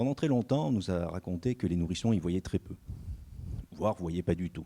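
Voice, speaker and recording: A very deep, low male voice with a dark, mellow tone, ordinary pitch variation and a fairly quick pace. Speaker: research scientist. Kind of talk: lecture. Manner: fast.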